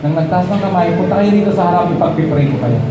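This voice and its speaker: The speech comes at a fairly quick pace. Audible room echo and noticeable background noise are present. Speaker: pastor. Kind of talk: sermon with altar call, preaching then leading a prayer. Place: church. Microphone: handheld.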